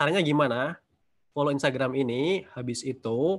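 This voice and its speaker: This man has an Indonesian accent and speaks at a fairly quick pace. His pitch varies in an ordinary way, and the background is quiet. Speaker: webinar host and language tutor; webinar host, language tutor. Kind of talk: webinar moderation. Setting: video call. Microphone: video call.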